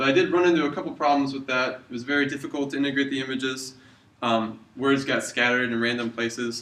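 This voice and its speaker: This man talks at a very fast pace, with medium pitch and fairly even intonation. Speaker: university student. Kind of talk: video reflection.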